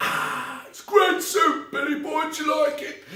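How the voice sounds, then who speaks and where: A man puts on a character voice at an extremely high pitch. He talks at a fairly slow pace with a slight echo. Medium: read story. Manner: cheerful, uncomplaining.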